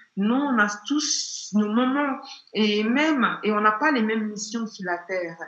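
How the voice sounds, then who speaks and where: A woman with a fairly high pitch talks over noticeable background noise. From Nigeria. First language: not French; learned it at 16-17 (speaking French). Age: 30s. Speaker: consultant and former transport entrepreneur. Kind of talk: interview conversation.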